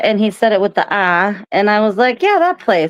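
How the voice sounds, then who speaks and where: A woman with a Boston accent talks at a moderate pace, her medium pitch carrying lively intonation and very even loudness. The sound is dry and close with no echo. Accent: Boston accent, non-rhotic, drops r sounds. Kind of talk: casual, profane.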